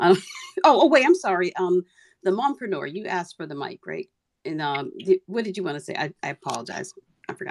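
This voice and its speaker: In a dry, close recording with no echo, a woman of medium pitch talks at a fairly quick pace with very wide pitch swings and big swings in loudness. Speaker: Twitter Spaces host. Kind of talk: casual chat. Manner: rambling, hesitant.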